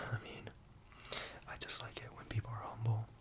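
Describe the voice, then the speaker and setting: Noticeable noise fills the background. Over it, a man whispers. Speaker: ASMR creator doing a job interviewer roleplay. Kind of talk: ASMR roleplay, casual talk to the listener. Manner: soft-spoken, friendly.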